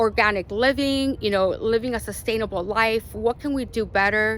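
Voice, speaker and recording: A woman with a Spanish accent talks at a fairly high pitch with ordinary pitch variation, on a very clean recording with a silent background. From Arizona, US (born in Mexico). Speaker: lifestyle vlogger. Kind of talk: casual vlog monologue. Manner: casual, many fillers.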